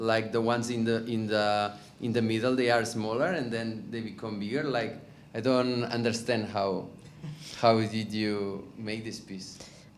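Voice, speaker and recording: With noticeable background noise and audible room echo, a man speaks at a medium pitch and a fairly slow pace. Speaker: audience member. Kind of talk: audience question. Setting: gallery with audience.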